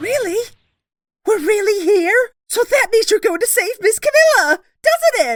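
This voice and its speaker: A squeaky, cartoonish character voice at an extremely high pitch. It moves along at a moderate pace. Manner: eager, earnest.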